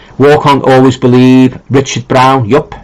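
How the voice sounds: Spoken at a fairly slow pace, the voice has little pitch movement. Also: man, medium pitch for a man.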